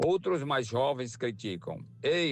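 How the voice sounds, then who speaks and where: A man speaks at a very slow pace. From rural Ceará, Brazil. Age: 60s. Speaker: retired worker, driver. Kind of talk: recorded testimony.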